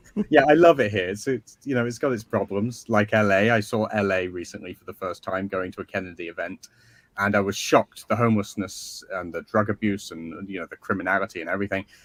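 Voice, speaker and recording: A man with an English accent talks at a very fast pace in a fairly low voice, his loudness swinging widely, in a dry, close sound with no echo. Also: ordinary pitch variation. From northern England, Skelmersdale near Liverpool. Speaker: author. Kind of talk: interview.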